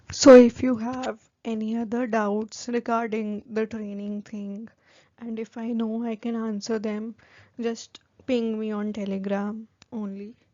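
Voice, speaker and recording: A woman's fairly high voice in an Indian accent, with monotone, flat intonation and big swings in loudness. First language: Hindi. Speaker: new-hire trainee vlogger. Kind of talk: casual vlog talk to camera. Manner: casual, filler-heavy.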